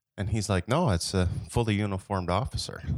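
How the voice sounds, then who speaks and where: Moderately paced speech from a man with an American accent, dry, close sound with no echo. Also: very clean recording, silent background. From Michigan. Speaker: sales director, former reserve police officer. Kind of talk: casual chat.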